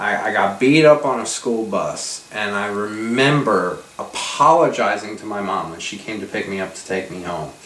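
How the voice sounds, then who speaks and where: A man with an American accent, fairly low pitch and lively intonation, amid noticeable background noise and audible room echo. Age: 40s. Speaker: mental health talk show co-host. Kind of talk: conversational discussion.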